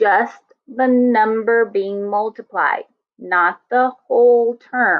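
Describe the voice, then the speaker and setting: The pace of this woman's speech is very slow. She shows ordinary pitch variation. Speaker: math teacher. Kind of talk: lecture. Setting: online class. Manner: deliberately slow.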